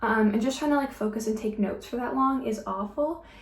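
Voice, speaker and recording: A woman speaks at a fairly high pitch. Background noise is noticeable, and the room echo can be heard. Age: 20s. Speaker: beauty vlogger. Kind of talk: casual chat while doing makeup. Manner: casual with many fillers.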